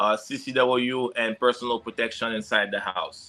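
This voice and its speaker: A man speaks at a medium pitch with a strong Haitian accent and a monotone, flat intonation. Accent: heavy Haitian. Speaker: security consultant and firearms instructor. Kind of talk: podcast interview. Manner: halting, many fillers.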